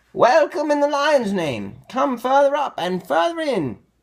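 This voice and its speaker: A man speaks at a moderate pace in a put-on character voice. It is shrill and extremely high-pitched. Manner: courteous, welcoming.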